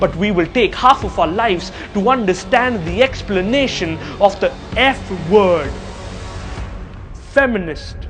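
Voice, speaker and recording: A man's lively intonation at a fairly slow pace, with music in the background. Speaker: spoken word poet. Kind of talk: spoken word poetry performance.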